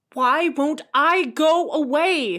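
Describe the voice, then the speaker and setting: With music playing in the background, the speaker goes at a very slow pace with ordinary pitch variation. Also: woman. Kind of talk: slam poetry.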